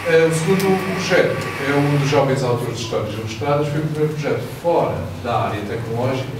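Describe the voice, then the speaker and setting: A man talks at a fairly high pitch with ordinary pitch variation. Audible room echo and noticeable background noise come through. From Venezuela. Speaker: computer science teacher. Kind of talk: short conference talk. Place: hall.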